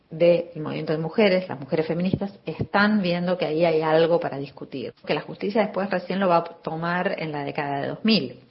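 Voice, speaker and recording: A woman's plain, everyday voice, fairly low in pitch, with fairly even intonation at a moderate pace. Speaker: sociologist and gender studies professor. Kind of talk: recorded expert commentary.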